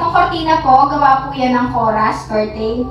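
At a moderate pace, a woman with a high-pitched voice speaks amid strong room echo, with faint music in the background. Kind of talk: casual house tour vlog.

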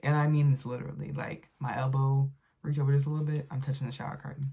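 Very deep, low-pitched woman's voice, somewhat breathy, with a dark, mellow tone over a quiet background. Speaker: vlogger. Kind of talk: casual vlog chat. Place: home room. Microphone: phone near.

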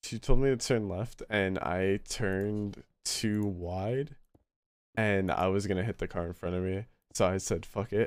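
Dry with no echo, a man's voice comes at a fairly slow pace and fairly low pitch, with an animated tone and ordinary pitch variation. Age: young. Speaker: livestreamer. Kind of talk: casual chat. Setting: live stream with voice chat. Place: home room.

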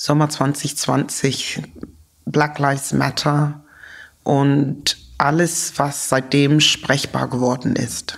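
Very slow, monotone speech in an English accent, with flat intonation, very even loudness and noticeable background noise. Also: woman, very deep, low pitch for a woman. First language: English (speaking German). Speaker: sociologist and activist, author. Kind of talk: interview. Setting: studio-like room in an office.

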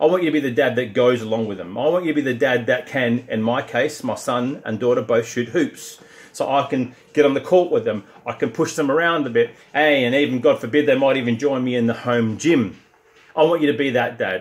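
At a fairly quick pace, a man with an Australian accent speaks in a medium pitch. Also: ordinary pitch variation. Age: 50s. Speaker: strength and conditioning coach; conditioning coach. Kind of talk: direct-to-camera pitch. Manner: animated. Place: gym. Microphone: phone near.

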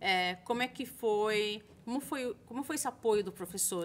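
Amid light background noise, a woman speaks at a moderate pace with ordinary pitch variation. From Brazil, Santos (São Paulo state); São Paulo state, Brazil. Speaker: school international admissions coordinator, interviewer; videocast host. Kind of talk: interview videocast. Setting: studio. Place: studio. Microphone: studio mic.

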